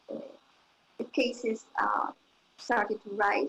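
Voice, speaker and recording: A woman is talking. Her pace is moderate. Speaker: intensive care physician. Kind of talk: panel testimony. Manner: halting.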